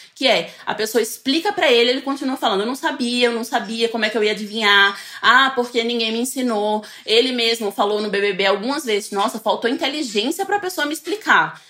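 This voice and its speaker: A woman's voice with ordinary pitch variation and hardly any pauses, set against noticeable background noise. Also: fairly high pitch for a woman, fairly quick pace. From Northeast Brazil, coastal. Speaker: researcher, futurist, communication scholar. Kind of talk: casual interview chat.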